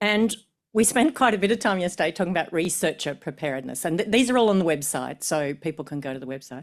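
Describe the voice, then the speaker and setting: Someone with an Australian accent speaks at a very fast pace with very wide pitch swings, in a very clean recording with a silent background. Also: woman, fairly low pitch for a woman. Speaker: professor of medicine. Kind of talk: conference talk. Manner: hesitant, with fillers and repetitions.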